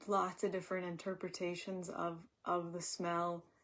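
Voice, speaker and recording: Quiet and at a fairly low pitch, a woman talks at a fairly slow pace with monotone, flat intonation on a very clean recording with a silent background. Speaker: acupuncturist teaching a class. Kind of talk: lecture. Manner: hesitant with many fillers.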